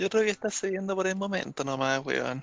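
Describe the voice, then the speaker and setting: A man speaks in a Chilean accent. The sound is dry and close, with no echo. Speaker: wrestling podcast panelist. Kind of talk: casual chat.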